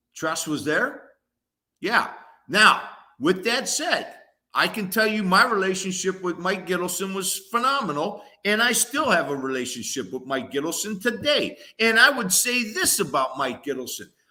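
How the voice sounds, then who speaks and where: A man's raised, projected voice, high-pitched with a bright, sharp tone, very wide pitch swings and a moderate pace. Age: 60s. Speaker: former college football player. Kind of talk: casual sports talk.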